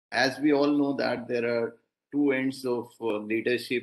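A man at a fairly slow pace with fairly even intonation, over a quiet background. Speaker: invited lecturer, professor. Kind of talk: lecture. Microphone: video call.

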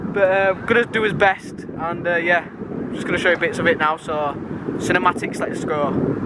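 Against loud background noise, a man speaks at a moderate pace with a dry sound and no echo. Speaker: car vlogger. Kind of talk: casual vlog chat. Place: street. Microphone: phone near.

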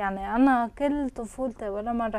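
Speaking at a fairly quick pace, a woman with a fairly high pitch shows vocal fry, a slightly mellow tone and ordinary pitch variation.

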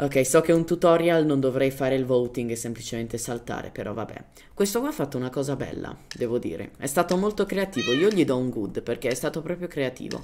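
With a non-native accent, a woman speaks fairly quickly in a very deep, low pitch with lively intonation, noticeable background noise behind her. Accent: non-native Italian. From Germany. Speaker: gaming youtuber. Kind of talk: gameplay tutorial. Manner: casual, hesitant.

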